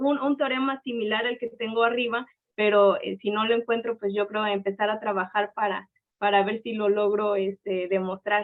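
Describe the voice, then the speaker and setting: A woman with a fairly high pitch speaks at a moderate pace, keeping her intonation fairly even. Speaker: seminar speaker presenting research. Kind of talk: academic seminar talk and Q&A. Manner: halting, many fillers.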